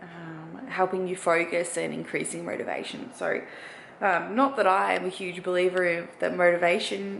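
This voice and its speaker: With an Australian accent, a woman talks amid noticeable background noise and audible room echo. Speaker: bikini bodybuilding competitor. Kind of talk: vlog. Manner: casual, hesitant fillers.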